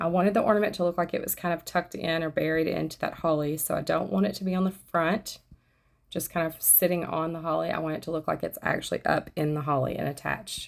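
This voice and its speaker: With a very clean recording and silent background, a woman talks at a very fast pace in a fairly low pitch, showing vocal fry and ordinary pitch variation. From US South. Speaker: craft YouTuber. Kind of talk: tutorial. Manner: conversational.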